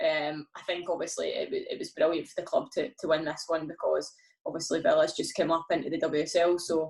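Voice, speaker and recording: Fairly quick speech in a Scottish accent. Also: woman. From Scotland, Glasgow. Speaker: professional footballer. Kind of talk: podcast interview.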